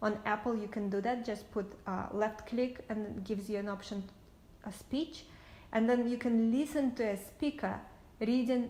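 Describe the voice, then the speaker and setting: Dark and mellow in tone, a woman with a slight Russian accent speaks somewhat breathily at a moderate pace, her pitch fairly high and her intonation fairly even. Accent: light Russian. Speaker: entrepreneur. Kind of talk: casual talk to camera.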